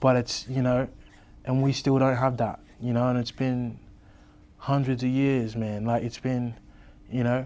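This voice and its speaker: In an Australian accent, the voice has a dark, mellow tone and monotone, flat intonation, moving at a fairly slow pace with long, frequent pauses. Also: man, medium pitch for a man. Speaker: rapper. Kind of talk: interview.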